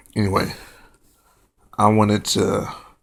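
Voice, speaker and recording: Soft-spoken with vocal fry, a man talks in a fairly low pitch with monotone, flat intonation. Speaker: vlogger. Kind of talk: casual monologue to camera. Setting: at home, late at night.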